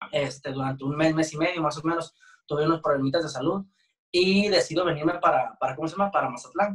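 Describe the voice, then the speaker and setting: At a very fast pace, a man talks with a fairly high pitch and ordinary pitch variation. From Jalisco, Mexico (San Gabriel, near Guadalajara). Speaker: band drummer. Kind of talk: interview.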